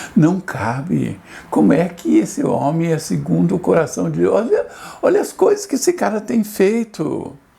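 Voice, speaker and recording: A man talks fairly slowly, and noticeable background noise can be heard. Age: 70s. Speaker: pastor. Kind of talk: sermon.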